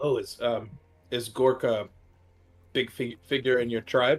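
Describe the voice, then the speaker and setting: Faint music plays behind a man doing a put-on character voice. He keeps a medium pitch and a moderate pace. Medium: actual play. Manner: hesitant, halting.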